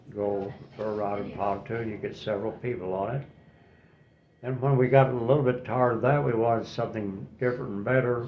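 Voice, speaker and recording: Audible room echo surrounds a man with a medium-pitched voice. He talks at a fairly quick pace with fairly even intonation. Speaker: retiree interviewed for a class project. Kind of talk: interview. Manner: halting.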